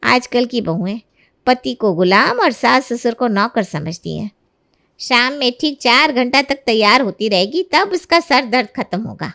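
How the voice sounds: Doing a put-on character voice, a woman speaks at a fairly slow pace with a fairly high pitch, a bright, sharp tone, vocal fry and lively intonation.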